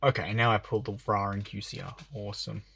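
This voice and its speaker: The man's pitch is fairly low, and the recording is very clean, with a silent background. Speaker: YouTuber opening trading card packs. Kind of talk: casual unboxing commentary. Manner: fast.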